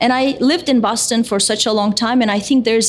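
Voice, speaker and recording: Over noticeable background noise, a woman with a fairly high pitch speaks at a fairly quick pace, with ordinary pitch variation. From Turkey. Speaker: neuroscience professor. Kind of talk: live panel interview. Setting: stage with audience.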